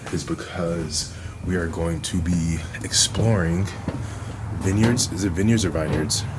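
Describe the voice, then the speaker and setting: A man speaks quietly at a very deep, low pitch, with audible room echo and noticeable background noise. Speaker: vlogger. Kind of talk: casual vlog talk. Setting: cabin getaway, outdoors/indoors vlog. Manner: quiet, talking low.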